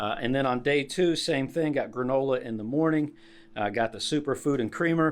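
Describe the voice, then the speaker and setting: A man's plain, everyday voice with ordinary pitch variation, in a very clean recording with a silent background. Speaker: hiking vlogger. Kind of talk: gear tutorial vlog. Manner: casual with many fillers.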